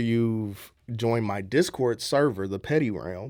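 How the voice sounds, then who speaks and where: Speaking with a St. Louis accent, a man keeps a moderate pace and ordinary pitch variation on a very clean recording with a silent background. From US Midwest, St. Louis, Missouri. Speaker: content creator and voice actor. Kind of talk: radio interview.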